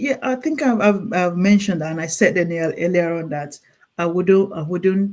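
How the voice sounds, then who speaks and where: The speaker has a Nigerian accent. The pace is moderate. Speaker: clinical nurse specialist. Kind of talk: interview. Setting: call. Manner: halting, with repeated words.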